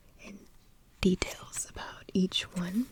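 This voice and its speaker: A woman whispers in a gentle tone. Noticeable background noise is present. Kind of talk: ASMR soft spoken video. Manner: soft-spoken, gentle.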